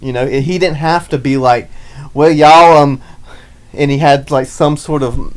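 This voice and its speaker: Fairly slow speech in an American accent, with long, frequent pauses. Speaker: podcast co-host. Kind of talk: casual chat.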